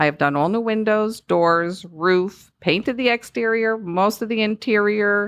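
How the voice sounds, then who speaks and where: A woman with a Northeastern US accent, medium pitch, ordinary pitch variation, very even loudness, a fairly slow pace, hardly any pauses, and a quiet background. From US Northeast. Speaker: home loan specialist. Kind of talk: podcast interview.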